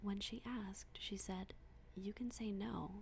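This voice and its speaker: Whispering and soft-spoken, a woman speaks at a fairly slow pace. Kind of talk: bedtime story reading. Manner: soft-spoken, whispered.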